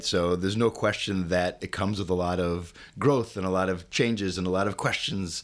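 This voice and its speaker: Captured in a very clean recording with a silent background, a man with a Chicago accent talks at a moderate pace in a very deep, low pitch. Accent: Chicago American English. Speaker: company CEO. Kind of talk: interview.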